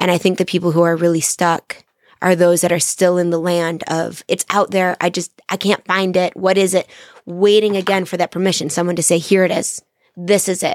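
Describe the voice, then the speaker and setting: A woman's fairly low-pitched voice with monotone, flat intonation, dry and close with no echo. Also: fairly quick pace. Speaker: firefighter. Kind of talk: casual chat. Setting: studio.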